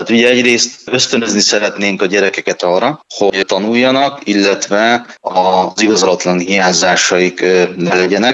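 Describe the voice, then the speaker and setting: A man's normal speaking voice, fairly low in pitch, at a moderate pace with ordinary pitch variation and very even loudness. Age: 40s. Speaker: deputy mayor. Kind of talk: interview. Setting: phone call.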